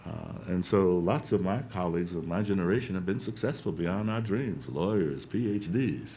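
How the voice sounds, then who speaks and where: Audible room echo around a man's fairly low voice, ordinary pitch variation, moderate pace. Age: 60s. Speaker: education reform researcher. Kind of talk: panel talk. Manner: animated.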